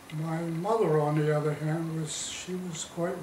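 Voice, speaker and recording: A man's fairly high pitch amid noticeable background noise and audible room echo. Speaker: war veteran. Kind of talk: interview. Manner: halting.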